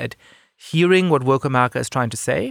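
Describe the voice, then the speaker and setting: The sound is dry and close with no echo, on a very clean recording with a silent background. A man speaks with very wide pitch swings. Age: 30s. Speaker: podcast host. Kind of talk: interview conversation.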